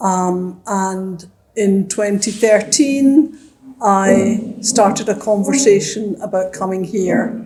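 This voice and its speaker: A woman speaks at a very slow pace. Her medium-pitched voice shows ordinary pitch variation. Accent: Glasgow. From Scotland, Glasgow. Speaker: retired teacher and former city councillor. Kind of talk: interview.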